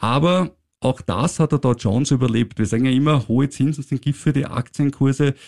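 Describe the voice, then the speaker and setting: A normal speaking voice at a fairly quick pace with ordinary pitch variation and very even loudness, in a dry, close sound with no echo and a very clean recording with a silent background. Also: man, medium pitch for a man. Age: 50s. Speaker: finance podcast host. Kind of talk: casual chat.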